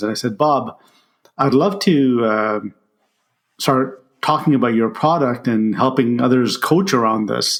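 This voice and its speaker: A man with an unremarkable speaking voice, ordinary pitch variation and a moderate pace. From immigrated to Canada at age ten, grew up in Ottawa. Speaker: leadership coach and author. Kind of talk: interview storytelling.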